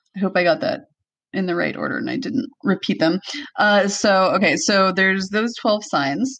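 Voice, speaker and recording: A woman speaks with a normal speaking voice at a medium pitch. Her pace is moderate and her intonation lively. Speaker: podcast host. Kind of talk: casual chat. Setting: home room with echo.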